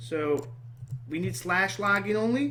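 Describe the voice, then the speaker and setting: A man speaks very slowly with a fairly high pitch and very wide pitch swings. The room echo is audible. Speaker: programming tutor. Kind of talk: screen-recorded coding tutorial. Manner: halting, self-correcting.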